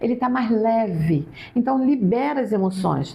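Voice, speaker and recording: Over noticeable background noise, a woman speaks at a fairly slow pace. Her pitch swings very widely. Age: 60s. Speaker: psychologist. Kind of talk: interview.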